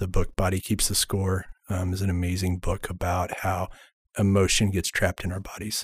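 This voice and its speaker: In a very clean recording with a silent background, a man with a very deep, low pitch sounds somewhat breathy, speaking in a monotone, flat intonation at a moderate pace. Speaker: EMDR therapist. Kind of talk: podcast interview.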